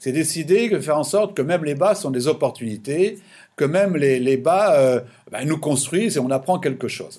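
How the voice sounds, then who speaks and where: Speaking at a fairly slow pace, the man uses lively intonation. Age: 60s. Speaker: business consultant. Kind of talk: interview. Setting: remote call from his office. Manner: halting, many repetitions.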